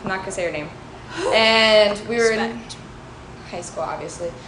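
A woman with a fairly high pitch and fairly even intonation is heard amid audible room echo and noticeable background noise. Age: 20s. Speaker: podcast co-host. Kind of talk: casual chat.

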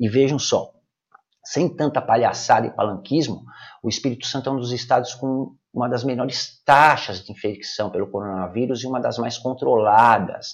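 A man speaks in an unremarkable speaking voice at medium pitch, with ordinary pitch variation and a moderate pace. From Brazil, São Paulo city (Brás). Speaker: numerology consultant and podcaster. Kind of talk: opinion commentary monologue.

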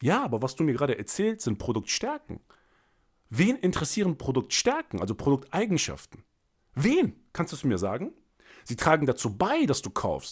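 Animated in tone, a man with a fairly high voice and vocal fry moves at a moderate pace through very wide pitch swings. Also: very clean recording, silent background. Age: 30s. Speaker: sales coach and podcast host. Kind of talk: solo podcast monologue.

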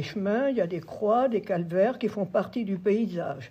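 A woman's somewhat breathy voice moves fairly slowly, its intonation lively. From France, Sarthe. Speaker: former schoolteacher and farmer. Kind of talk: testimony. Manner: halting.

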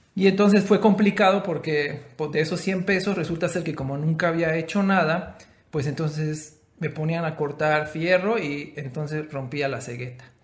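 A man speaks at a fairly high pitch with ordinary pitch variation and a moderate pace. Noticeable background noise is present. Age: 30s. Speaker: podcast co-host. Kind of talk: casual chat.

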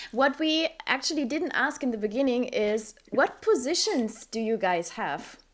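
Speaking with a German accent, a woman uses a high pitch with very wide swings at a fairly slow pace. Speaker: podcast co-host. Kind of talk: interview.

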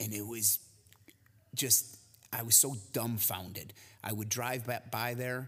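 A man speaks with an American accent at a medium pitch and a fairly slow pace, in an ordinary speaking voice. His intonation stays fairly even, and the recording is very clean with a silent background. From US Midwest, near Chicago. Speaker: podcast co-host, gym owner and fitness trainer. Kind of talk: casual chat.

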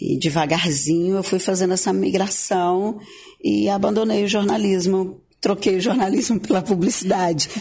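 A woman speaks in a dark, mellow tone at a medium pitch, somewhat breathy. Her pace is fairly slow, with ordinary pitch variation. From Tocantins, Brazil (Gurupi). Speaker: journalist turned advertising professional. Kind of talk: radio interview. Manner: halting, with repeated words.

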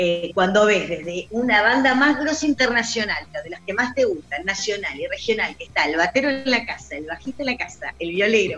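With noticeable background noise, a woman speaks at a moderate pace with hardly any pauses, her fairly high pitch swinging very widely and her loudness varying a lot. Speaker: radio host. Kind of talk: casual chat. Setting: video call. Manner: animated.

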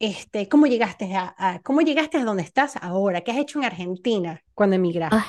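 Against a quiet background, a woman with an ordinary speaking voice talks fairly quickly, her fairly high pitch rising and falling with lively intonation. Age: 40s. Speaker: podcast host. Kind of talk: interview conversation.

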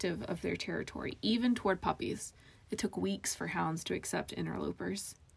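Simple out-loud reading.

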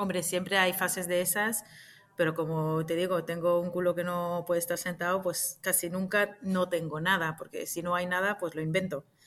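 A woman speaks in a fairly low pitch at a moderate pace. Her intonation is flat and monotone. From Israel. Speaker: actress and clown. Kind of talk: interview.

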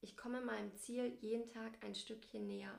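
Her pitch fairly high and her intonation monotone and flat, a woman speaks at a moderate pace. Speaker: family blogger and podcast co-host. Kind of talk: casual chat.

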